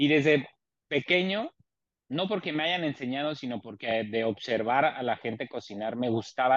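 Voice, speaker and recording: A man speaks in an ordinary speaking voice at a moderate pace, his pitch varying in an ordinary way. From Mexico City. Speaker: chef. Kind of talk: casual chat.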